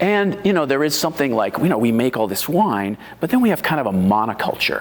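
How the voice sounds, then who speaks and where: The speaker is a man with an American accent. Background noise can be noticed behind him. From US Northeast. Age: 60s. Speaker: wine writer and home winemaker. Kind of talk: oral history interview. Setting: library. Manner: halting, many fillers.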